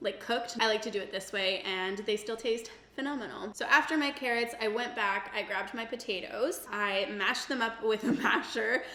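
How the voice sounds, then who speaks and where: A woman's fairly high-pitched voice at a moderate pace over noticeable background noise. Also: ordinary pitch variation. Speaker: cooking vlogger. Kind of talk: casual talk to camera. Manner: casual, chatty.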